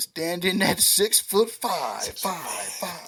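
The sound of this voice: A raspy, put-on character voice, female-sounding and of medium pitch, unfolds at a very slow pace.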